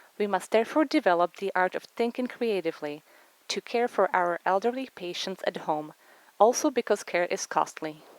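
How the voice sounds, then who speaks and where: Speaking with a Czech accent, a woman uses a medium pitch and lively intonation at a moderate pace. The sound is dry and close with no echo. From Czech Republic. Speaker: physician. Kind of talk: research presentation. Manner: formal.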